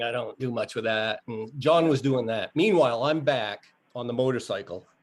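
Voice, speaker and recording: In an unremarkable speaking voice, the speaker goes at a fairly quick pace with ordinary pitch variation. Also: man. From Maine, US. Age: 60s. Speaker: motorcycle rider. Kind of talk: casual interview.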